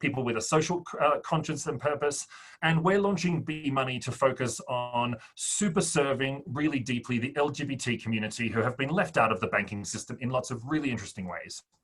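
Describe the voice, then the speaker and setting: Over noticeable background noise, a man of medium pitch talks at a fairly quick pace with hardly any pauses and ordinary pitch variation. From Australia. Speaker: fintech startup founder. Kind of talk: interview.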